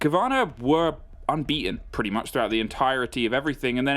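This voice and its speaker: A man with a British accent, fairly high pitch and very fast pace. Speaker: esports caster. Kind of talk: live commentary.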